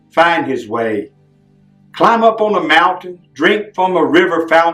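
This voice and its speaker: Over music in the background, a man with a high-pitched voice talks at a fairly slow pace. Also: lively intonation. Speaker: street preacher and poet. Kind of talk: poetry reading.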